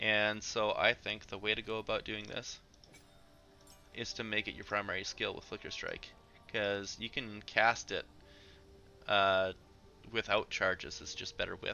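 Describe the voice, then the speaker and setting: Music plays in the background while a man speaks. His pace is moderate, with long, frequent pauses. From Canada. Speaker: video game streamer. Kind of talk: live stream gameplay commentary.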